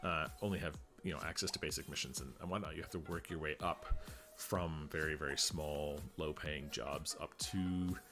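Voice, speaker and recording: Music plays in the background as a man talks at a moderate pace. His very deep, low voice keeps a fairly even intonation. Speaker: gaming video creator. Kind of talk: gameplay commentary. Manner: calm.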